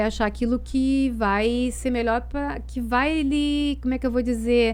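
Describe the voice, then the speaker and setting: A woman's voice with audible echo from the room. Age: 60s. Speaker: tai chi and Chinese body practices specialist. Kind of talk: casual interview chat.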